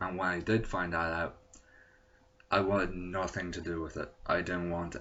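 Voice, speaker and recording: A man with an Irish accent, very deep and low, monotone and flat at a moderate pace. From Ireland. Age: 20s. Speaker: vlogger sharing personal experience. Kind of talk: personal testimony to camera. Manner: hesitant, with fillers.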